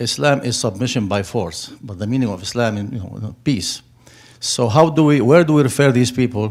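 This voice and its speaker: A man's medium-pitched voice at a moderate pace with ordinary pitch variation. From Middle East (Turkey or Syria). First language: Arabic. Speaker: audience member asking a question. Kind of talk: audience question at public forum. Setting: public forum with audience. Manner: halting.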